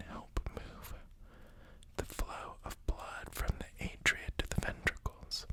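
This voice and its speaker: Against noticeable background noise, a man's whisper unfolds very slowly. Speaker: new ASMR creator. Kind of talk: ASMR reading of educational text. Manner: whispered, soft-spoken.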